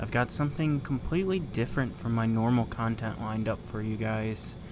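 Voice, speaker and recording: Softly spoken at a moderate pace, a man at medium pitch uses ordinary pitch variation, with room echo audible. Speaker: YouTuber restoring retro games. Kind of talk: ASMR-style live stream tutorial. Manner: soft-spoken, chill.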